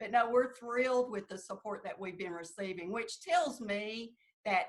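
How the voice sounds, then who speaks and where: Ordinary pitch variation marks this voice with a Southern Appalachian accent. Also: woman. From US South, southeast Kentucky. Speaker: political candidate. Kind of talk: interview.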